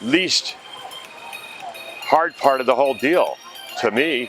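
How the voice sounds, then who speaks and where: A man's fairly high voice over music in the background. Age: 60s. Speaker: weight-loss surgery patient. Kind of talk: testimony.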